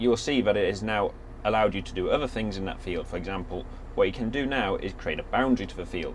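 There's light background noise behind a man talking at a fairly quick pace. His loudness swings widely. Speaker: product demonstrator. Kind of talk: tutorial. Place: farm machine.

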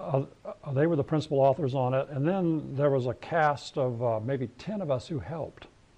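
A dark, mellow tone at a moderate pace with ordinary pitch variation. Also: man. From New Mexico. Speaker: scientist. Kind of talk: lecture. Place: hall.

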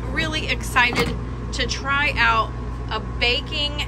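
A woman talks over loud noise in the background. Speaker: home cooking vlogger. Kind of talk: casual vlog chat. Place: kitchen. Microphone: phone near.

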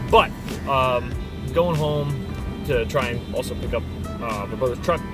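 Clear music sits in the background as a man speaks. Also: dry sound with no echo. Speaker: vlogger driving. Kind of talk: casual vlog chat. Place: car. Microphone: phone near.

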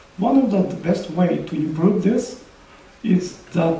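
Audible room echo surrounds a man's high-pitched voice. He speaks at a very slow pace. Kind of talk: press conference presentation. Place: hall. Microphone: podium.

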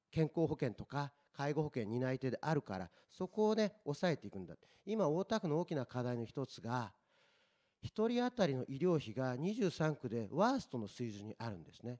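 Over a quiet background, a man with a dark, mellow tone and a fairly high pitch speaks at a moderate pace, with very wide pitch swings and big swings in loudness. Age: 40s. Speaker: local election candidate; election candidate. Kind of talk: political debate. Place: meeting room. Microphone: handheld.

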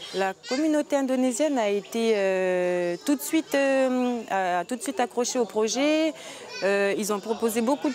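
A woman talks with lively intonation. The sound is dry with no echo, with light background noise. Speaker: youth exchange organizer. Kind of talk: casual instructions to group. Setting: outdoors. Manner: halting. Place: garden.

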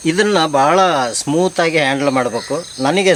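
A man talks with ordinary pitch variation. Noticeable background noise can be heard behind him. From Karnataka, Sagar taluk (Malnad region). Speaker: art teacher and hobby beekeeper. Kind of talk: explanatory demonstration. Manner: halting, with frequent pauses.

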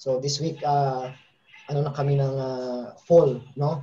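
A man speaking at a fairly slow pace. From Philippines. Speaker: football coach and former national team player; football coach. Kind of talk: casual interview. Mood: relaxed, friendly. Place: home room. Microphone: video call.

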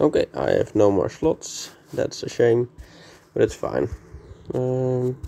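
The voice is quiet and very slow. Long, frequent pauses break up the speech. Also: man. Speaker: gaming YouTuber. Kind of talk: gameplay commentary. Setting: vacation room, indoors. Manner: quiet, subdued.

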